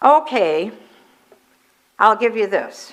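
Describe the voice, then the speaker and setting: The voice has a bright, sharp tone and moves at a fairly slow pace. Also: woman. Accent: American. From Minnesota, USA. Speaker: ordained minister delivering a Sunday sermon. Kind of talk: church sermon to a congregation.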